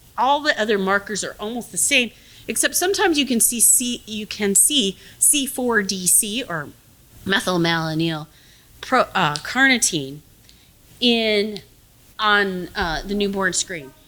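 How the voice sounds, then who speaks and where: A woman talks at a medium pitch and a fairly slow pace, with very wide pitch swings and long, frequent pauses. Noticeable background noise runs underneath. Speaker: physician and geneticist. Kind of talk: lecture. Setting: room with audience. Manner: halting.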